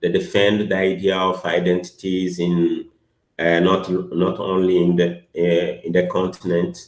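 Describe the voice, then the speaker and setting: A man's very deep, low voice with a non-native accent, at a very slow pace. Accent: non-native English speaker. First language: not English. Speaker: academic presenter. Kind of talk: academic workshop presentation and discussion. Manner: halting, many hesitations.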